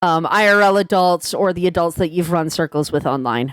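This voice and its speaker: A woman's plain, everyday voice, fairly low in pitch, with ordinary pitch variation and a fairly quick pace, in a very clean recording with a silent background. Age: 20s. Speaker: YouTuber. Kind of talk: vent video commentary.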